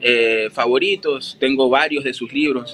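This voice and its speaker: A man with a coastal Ecuadorian accent and a fairly high voice uses lively intonation over light background noise. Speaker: university lecturer and translator; university lecturer. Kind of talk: casual interview. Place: home room. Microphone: video call.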